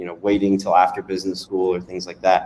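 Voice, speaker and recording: A man's fairly low voice with a dark, mellow tone, in an American accent. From US South (North Carolina, then Louisiana). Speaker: startup founder and CEO. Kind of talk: interview. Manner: casual, many fillers.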